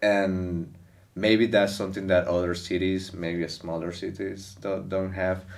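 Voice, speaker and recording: Heard with audible room echo, a man with a Venezuelan accent speaks at a fairly slow pace in a very deep, low pitch. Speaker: stand-up comedian. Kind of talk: casual interview chat.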